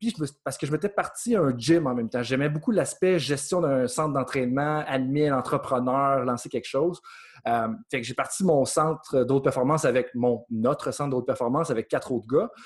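This man has a fairly high pitch and ordinary pitch variation. The background is quiet. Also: moderate pace. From Quebec, Beauce (Saint-Georges). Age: 30s. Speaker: sports coaching researcher and consultant. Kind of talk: interview.

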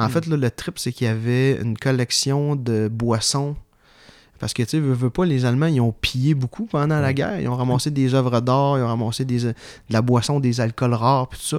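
A man talks at a fairly quick pace with fairly even intonation. He has a medium pitch and an unremarkable speaking voice. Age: 20s. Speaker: history enthusiast guest. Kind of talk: casual interview.

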